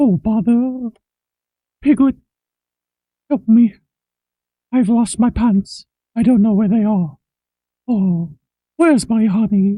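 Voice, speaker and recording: A put-on character voice at fairly high pitch goes at a fairly slow pace with long, frequent pauses. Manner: soft, slow, bumbling.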